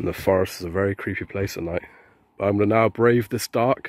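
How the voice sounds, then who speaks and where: An unremarkable speaking voice moves at a fairly quick pace over a quiet background, the sound dry with no echo. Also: man. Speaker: vlogger. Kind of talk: casual vlog chat. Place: street. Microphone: phone near.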